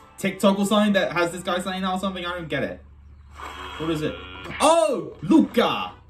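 The loudness swings widely at a fairly quick pace. Faint music sits in the background. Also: man. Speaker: reaction video creator. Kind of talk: casual reaction commentary. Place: home room. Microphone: phone near.

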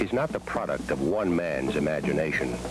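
Loud music in the background and a dry sound with no echo. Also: man. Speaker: film narrator. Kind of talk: documentary narration. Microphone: old recording.

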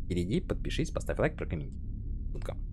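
A man talks with vocal fry. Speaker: gaming youtuber. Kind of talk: let's play commentary. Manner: animated.

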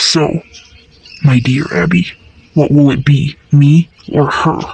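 Low-to-middle pitch at a fairly slow pace. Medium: fan dub. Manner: menacing, falsely sweet.

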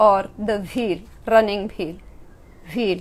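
This is a woman talking. The variation in her pitch is ordinary. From India, Himachal Pradesh. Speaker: yoga teacher. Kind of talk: lecture. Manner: short phrases paused for interpreter. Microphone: camera far.

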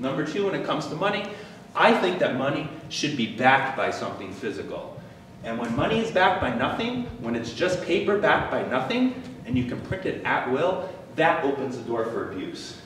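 Here a man speaks at a fairly quick pace. Audible room echo and light background noise are present. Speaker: presenter. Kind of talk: lecture. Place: meeting room. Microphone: camera far.

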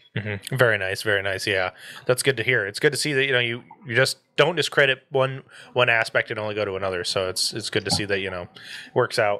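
A man with an American accent talks at a very fast pace in a bright, sharp tone. Long, frequent pauses break up his speech. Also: ordinary pitch variation. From Michigan. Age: 20s. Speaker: podcast host. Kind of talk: casual chat. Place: home room. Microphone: studio mic.

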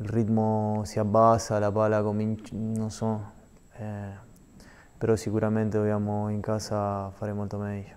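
At a fairly slow pace, a man talks in a fairly low pitch with monotone, flat intonation and long, frequent pauses. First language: Spanish (speaking Italian). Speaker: professional footballer; guest. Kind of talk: TV sports interview; interview answer. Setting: TV studio. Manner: halting. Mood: calm, thoughtful. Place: studio. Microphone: lapel.

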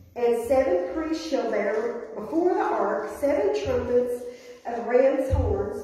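Strong room echo surrounds a woman with a high pitch and very wide pitch swings. She talks at a very slow pace. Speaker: pastor. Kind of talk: scripture reading in sermon. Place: church. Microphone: camera far.

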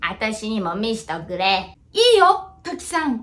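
The speaker puts on a character voice and keeps a moderate pace. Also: female-sounding voice, fairly high pitch for a woman. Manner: gruff, scolding.

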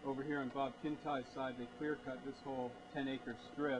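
Over noticeable background noise, a man speaks at a moderate pace in a monotone, flat delivery. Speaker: forestry tour guide. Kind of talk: explanatory tour commentary. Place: forest. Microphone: camera far.

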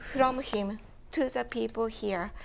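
In a Japanese accent, a woman talks at a very slow pace with a fairly high pitch. Her intonation is fairly even, and there is light background noise. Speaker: photo book consultant, publisher; panelist. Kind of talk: panel discussion. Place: home room. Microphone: lapel.

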